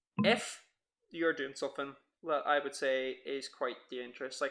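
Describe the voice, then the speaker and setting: This man has an Irish accent. His fairly high voice carries a bright, sharp tone. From Ireland. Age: 20s. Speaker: podcast co-host. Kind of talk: casual podcast chat.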